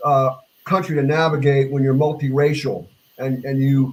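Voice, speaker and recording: A man speaks in a somewhat breathy voice with an American accent. His pitch is fairly high, and his pace is moderate. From US South. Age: 60s. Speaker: bass player. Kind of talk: casual chat. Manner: halting.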